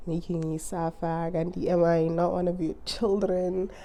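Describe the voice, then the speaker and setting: A woman's fairly low voice, dark and mellow in tone, at a very slow pace. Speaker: YouTuber. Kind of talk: casual vlog monologue.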